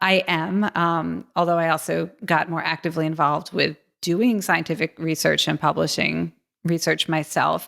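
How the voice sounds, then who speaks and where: On a very clean recording with a silent background, a woman with an American accent speaks at a moderate pace. Her fairly low voice carries vocal fry and fairly even intonation. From US East Coast, suburban Philadelphia. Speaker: futurist and game designer. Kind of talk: interview.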